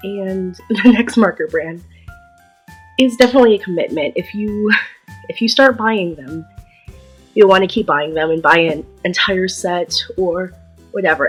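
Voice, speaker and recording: Music plays in the background as a woman speaks with ordinary pitch variation. Her pauses are long and frequent. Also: medium pitch for a woman, moderate pace. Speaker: artist. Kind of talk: casual talk to camera. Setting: built-in computer microphone.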